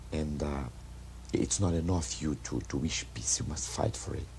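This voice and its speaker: With a Brazilian Portuguese accent, a man speaks at a fairly slow pace in a very deep, low pitch with ordinary pitch variation. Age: 40s. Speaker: actor. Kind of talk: street interview.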